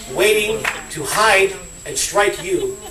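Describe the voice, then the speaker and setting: A man speaks in a room with audible echo while music plays in the background. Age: 60s. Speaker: politician. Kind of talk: political speech.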